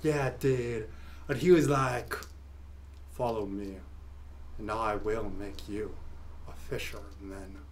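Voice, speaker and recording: A man does a cartoonish character voice with a fairly low pitch, a fairly slow pace and long, frequent pauses, against clear background noise. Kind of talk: comic puppet show. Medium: comedy sketch. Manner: laid-back, enthusiastic, goofy.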